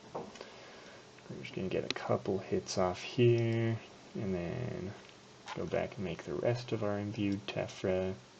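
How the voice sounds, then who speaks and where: Through noticeable background noise, a man with a fairly low voice speaks at a very slow pace with lively intonation. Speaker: gaming youtuber. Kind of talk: gameplay commentary. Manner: soft-spoken. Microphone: poor audio quality.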